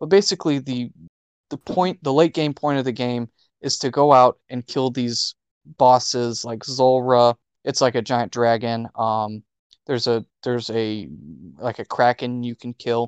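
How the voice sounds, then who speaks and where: A man with an American accent and an ordinary speaking voice, medium pitch, ordinary pitch variation, fairly slow pace, a quiet background, and a dry, close sound with no echo. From US South. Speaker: podcast co-host. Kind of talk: casual chat.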